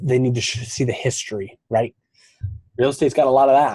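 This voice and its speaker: A man speaks at a fairly quick pace with an American accent. His voice is somewhat breathy. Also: dry, close sound with no echo. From Montana, US. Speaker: podcast host, real estate investor. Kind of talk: solo podcast monologue. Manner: casual, with fillers and restarts.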